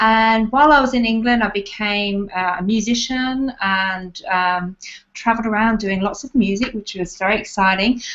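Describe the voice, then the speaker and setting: A woman with an Australian accent speaks at a moderate pace. Her pitch is fairly high, with ordinary variation. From Australia, Adelaide. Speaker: tapping therapy practitioner. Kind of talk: interview. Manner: halting.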